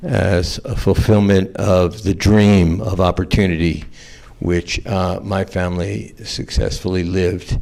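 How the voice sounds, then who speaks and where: The speaker has an American accent and a dark, mellow tone. The pace is fairly slow, with fairly even intonation. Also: man, very deep, low pitch for a man. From US South, Atlanta, Georgia. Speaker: trial attorney on a panel. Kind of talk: panel talk, personal story. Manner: halting, many fillers.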